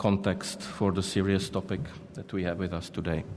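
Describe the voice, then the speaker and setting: A man speaks at a moderate pace with fairly low pitch and fairly even intonation. The room echo is audible, and the background noise is noticeable. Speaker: panel chair, diplomat. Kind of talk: conference panel moderation. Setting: conference hall. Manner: formal.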